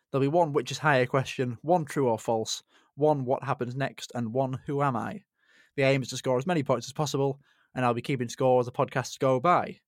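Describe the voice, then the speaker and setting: This man has an unremarkable speaking voice of medium pitch and talks at a fairly quick pace with fairly even intonation. The recording is very clean, with a silent background. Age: 20s. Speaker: podcast host, kidney transplant recipient. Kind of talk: casual interview chat.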